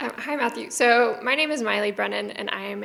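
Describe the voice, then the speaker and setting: Speaking at a very fast pace, a woman has a bright, sharp tone, fairly high pitch and vocal fry. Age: 30s. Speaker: PhD student asking a question. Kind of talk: audience question at public event. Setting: university hall with audience.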